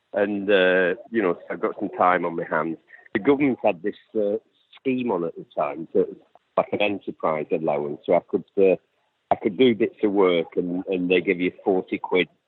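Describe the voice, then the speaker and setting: Man with a Lancashire accent, lively intonation and moderate pace. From northern England, Lancashire (Accrington). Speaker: activist interviewee. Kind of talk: interview.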